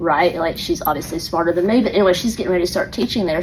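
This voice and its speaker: A woman talks at a very fast pace in an animated tone. Noticeable background noise runs underneath. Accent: Atlanta. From US South, Atlanta. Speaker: elementary school teacher. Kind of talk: casual storytelling monologue.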